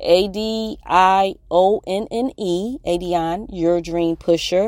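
Speaking in an American accent, a woman uses a fairly low pitch, an animated tone and ordinary pitch variation. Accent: northern US accent noticed in the South. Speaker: life coach and podcast host. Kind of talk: casual motivational monologue. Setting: parked in his truck. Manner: animated, laughs often.

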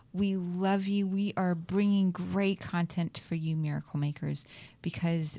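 A woman's fairly low, somewhat breathy voice with a dark, mellow tone, an American accent and flat, monotone intonation, on a very clean recording with a silent background. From US South. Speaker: talk show host. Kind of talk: casual chat. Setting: studio.

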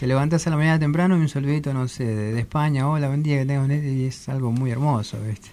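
A man rushes along at a very fast pace with hardly any pauses amid noticeable background noise. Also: fairly high pitch for a man. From Argentina, southern Buenos Aires province. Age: young. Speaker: singer. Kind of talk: radio interview. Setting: studio. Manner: halting.

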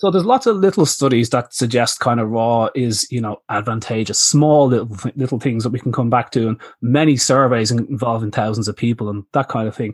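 Speaking at a fairly quick pace, a man has a medium pitch and ordinary pitch variation. He talks with an Irish accent against a quiet background. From Ireland. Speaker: veterinarian and pet nutrition author. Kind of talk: interview. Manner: hesitant fillers; animated.

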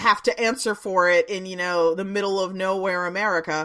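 At a moderate pace, a woman speaks at medium pitch in an ordinary speaking voice. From Washington DC suburbs. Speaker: comics publisher. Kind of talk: casual chat.

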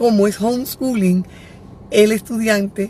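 A woman talks at a medium pitch. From Dominican Republic, Santiago. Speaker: educator and psycho-pedagogical consultant. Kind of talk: live stream talk to parents. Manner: animated.

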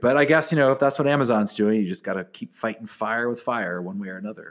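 A man at medium pitch and a very fast pace, with ordinary pitch variation, in a very clean recording with a silent background. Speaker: podcast host and event MC. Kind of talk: scripted-feeling podcast chat and event preview. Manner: animated, wordy, occasionally stumbling and repeating words.

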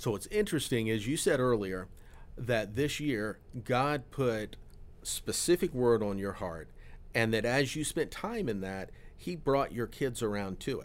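Here is a man with an unremarkable speaking voice and an American accent. His medium pitch carries lively intonation at a fairly slow pace. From Florida. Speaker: pastor. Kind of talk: casual chat.

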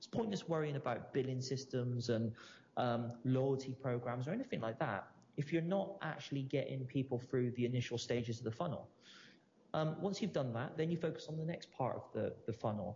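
A man's somewhat breathy voice at medium pitch, with ordinary pitch variation and a fairly quick pace. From Bristol, England. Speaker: entrepreneur, company founder. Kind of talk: interview.

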